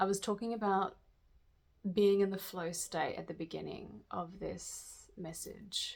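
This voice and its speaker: A woman talks at a very slow pace, her pitch medium and her intonation fairly even. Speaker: tarot reader. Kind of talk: channeled spiritual reading. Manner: halting.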